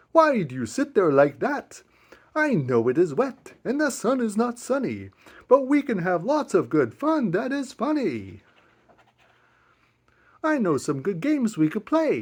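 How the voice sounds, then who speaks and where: With long, frequent pauses, a man puts on a character voice pitched high. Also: moderate pace. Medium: read story. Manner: boastful, playful.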